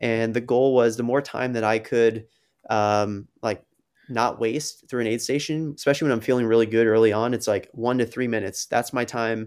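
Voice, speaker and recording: A man's normal speaking voice at a medium pitch, with fairly even intonation, on a very clean recording with a silent background. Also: moderate pace. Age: 30s. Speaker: ultrarunner. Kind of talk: casual interview.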